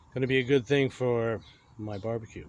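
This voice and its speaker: The man's voice is somewhat breathy. His intonation stays fairly even. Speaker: BBQ cooking YouTuber. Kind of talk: casual cooking tutorial. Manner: hesitant, many fillers.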